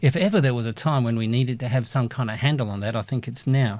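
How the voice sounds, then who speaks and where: This man has an ordinary speaking voice at medium pitch with ordinary pitch variation, talking fairly quickly on a very clean recording with a silent background. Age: 60s. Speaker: university lecturer. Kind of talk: lecture.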